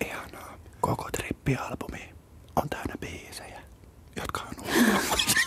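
A man whispers at a fairly slow pace. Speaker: radio host. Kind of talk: ASMR interview. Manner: whispered. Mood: playful, amused. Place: studio. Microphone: studio mic.

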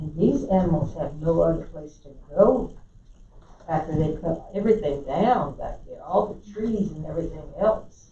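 A woman with an American accent at a moderate pace, lively intonation and big swings in loudness, with audible room echo and noticeable background noise. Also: fairly low pitch for a woman. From South Carolina. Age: 70s. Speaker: resident commenter. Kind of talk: public comment at council meeting. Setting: county council meeting.

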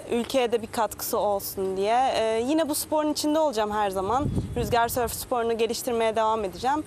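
Dry sound with no echo, ordinary pitch variation and very even loudness, over noticeable background noise. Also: woman, hardly any pauses. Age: 20s. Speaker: Olympic windsurfer. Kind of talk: TV interview. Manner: halting. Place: waterside. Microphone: lapel.

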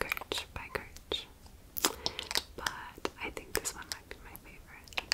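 Whispering in a gentle tone at a very slow pace. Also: woman. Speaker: ASMR creator playing a friend. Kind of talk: ASMR role play with personal attention. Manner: soft, friendly, gentle. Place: home room. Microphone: studio mic.

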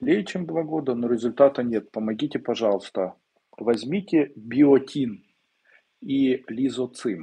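A man's very slow, dark and mellow voice with lively intonation over a quiet background. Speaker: esoteric teacher answering viewers' questions. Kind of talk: live webinar Q&A, answering questions. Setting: live stream video webinar. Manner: conversational, direct, confident. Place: home room. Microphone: earbuds.

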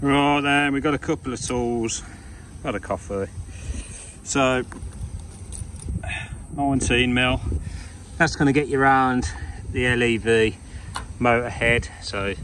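In a dry sound with no echo and light background noise, a man speaks at a fairly slow pace with long, frequent pauses. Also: ordinary pitch variation. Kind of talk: tutorial. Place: street. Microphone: phone near.

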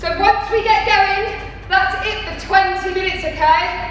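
Her voice raised and projected, a woman speaks at a moderate pace with fairly even intonation, amid strong room echo and light background noise. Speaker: fitness instructor. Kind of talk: workout instruction. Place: gym. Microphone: camera far.

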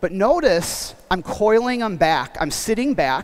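A man's high-pitched voice at a fairly slow pace. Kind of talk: live demonstration lecture. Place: hall. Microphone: headset.

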